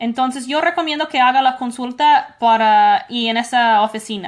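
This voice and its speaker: In an English accent, a woman speaks with ordinary pitch variation. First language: English (speaking Spanish). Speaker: immigration lawyer. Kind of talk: call-in Q&A show. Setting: at home.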